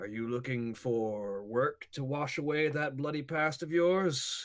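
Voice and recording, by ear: A man puts on a gruff character voice with lively intonation in a very clean recording with a silent background.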